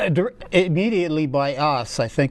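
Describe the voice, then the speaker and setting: A man with an American accent, fairly slow pace and ordinary pitch variation. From Wisconsin, US Upper Midwest. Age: 60s. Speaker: political candidate, paper mill worker. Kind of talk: interview. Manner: halting, many fillers.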